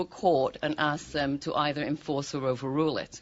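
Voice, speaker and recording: A woman with a British accent at a fairly quick pace. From Britain. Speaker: law professor. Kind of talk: audience comment at panel discussion.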